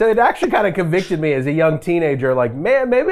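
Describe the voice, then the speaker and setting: A man talks very fast in a high voice with lively intonation, noticeable background noise all around. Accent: American. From Las Vegas, Nevada, US. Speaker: worship leader. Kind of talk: casual interview chat.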